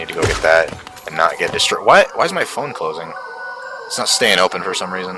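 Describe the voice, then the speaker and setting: Music plays behind the speech. A man talks fairly quickly. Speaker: gaming streamer. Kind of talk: live gameplay stream chat. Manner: casual, rambling with fillers.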